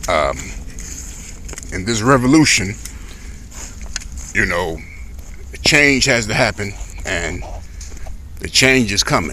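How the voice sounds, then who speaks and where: A man speaks at a medium pitch and a very slow pace, with long, frequent pauses. Audible room echo and noticeable background noise surround him. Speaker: bitcoin vlogger. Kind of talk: casual off-the-cuff vlog. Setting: outdoors walking dog. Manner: hesitant with fillers.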